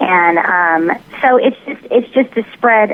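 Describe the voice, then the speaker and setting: Speaking in a Southern US accent, a woman uses a medium pitch and lively intonation. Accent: mild Southern. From US South, Tennessee. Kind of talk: interview.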